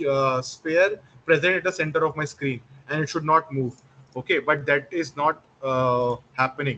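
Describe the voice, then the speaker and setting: This is a man's voice. His pitch is fairly high. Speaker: instructor. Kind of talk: live online class tutorial. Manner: fast.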